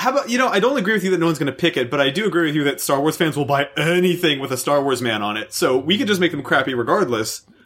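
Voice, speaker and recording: A man with a fairly high voice talks at a very fast pace with hardly any pauses. His intonation is lively, and there is noticeable background noise. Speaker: podcast host. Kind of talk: casual banter.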